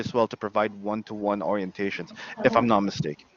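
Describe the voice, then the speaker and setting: Fairly fast male speech comes through with noticeable background noise. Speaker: IT trainer. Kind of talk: online orientation Q&A.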